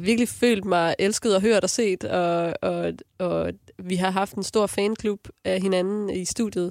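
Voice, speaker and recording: The recording is very clean with a silent background and a dry, close sound with no echo, as a woman with a normal speaking voice talks at medium pitch, fairly even in intonation and fairly slow in pace. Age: 30s. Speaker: singer. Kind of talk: casual chat.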